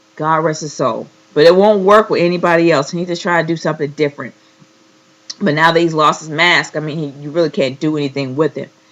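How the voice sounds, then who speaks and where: A woman speaks at a very fast pace. Her very deep, low voice keeps fairly even intonation. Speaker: wrestling reviewer. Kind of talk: casual talk to camera.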